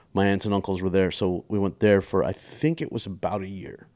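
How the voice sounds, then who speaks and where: A man's dark, mellow voice with a Texan accent in a very clean recording against a silent background. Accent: Texan American English. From Texas. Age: 40s. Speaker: comedian. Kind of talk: casual chat.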